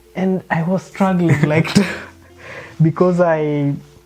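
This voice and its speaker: A man speaks very slowly with a Kenyan accent. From Kenya, Luo community. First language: Luo. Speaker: interviewee. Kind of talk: casual interview while cooking.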